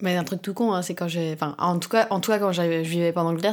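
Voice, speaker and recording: A woman with a fairly low pitch and an ordinary speaking voice talks at a fairly quick pace with fairly even intonation, on a very clean recording with a silent background. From France (Alsace). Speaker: ballet dancer. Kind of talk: casual chat. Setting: home kitchen.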